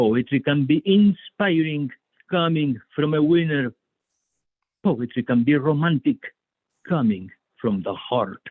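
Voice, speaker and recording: A man with a Spanish accent speaks at a fairly slow pace, taking long, frequent pauses. His pitch is fairly high and his intonation lively. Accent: foreign (Spanish). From Spain. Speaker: poet. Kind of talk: poetry reading.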